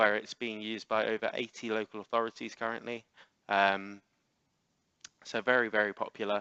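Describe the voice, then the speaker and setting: With an English accent, the voice is bright and sharp in tone, flat and monotone, at a fairly quick pace but with long, frequent pauses, recorded dry and close with no echo. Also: man, fairly low pitch for a man. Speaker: software trainer. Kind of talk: webinar presentation. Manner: fast.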